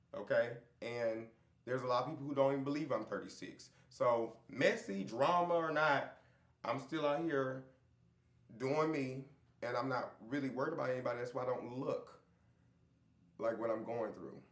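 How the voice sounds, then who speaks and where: Pausing long and often, a medium-pitched man speaks with ordinary pitch variation amid audible room echo. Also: moderate pace. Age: 30s. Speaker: reality TV cast member. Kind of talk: interview.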